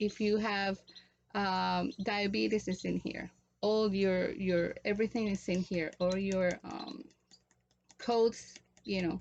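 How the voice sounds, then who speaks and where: A woman with a Spanish accent talks very slowly at medium pitch, her intonation fairly even and broken by long, frequent pauses. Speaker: natural remedies vlogger. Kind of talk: tutorial. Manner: halting.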